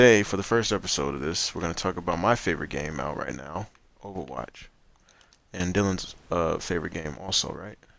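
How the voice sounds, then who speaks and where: Talking at a fairly quick pace, a man uses a very deep, low pitch with ordinary pitch variation and vocal fry. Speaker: gaming podcast host. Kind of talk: casual chat. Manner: fast.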